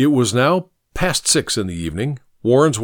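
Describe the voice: A quiet backdrop behind plain reading aloud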